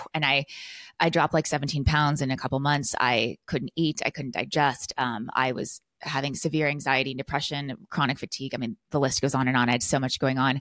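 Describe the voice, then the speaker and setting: In a very clean recording with a silent background and a dry, close sound with no echo, a woman with a West Coast US accent speaks at a fairly quick pace in a very deep, low pitch with fairly even intonation. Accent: General American (West Coast). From California. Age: 30s. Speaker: lifestyle and business coach. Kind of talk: interview, casual conversation.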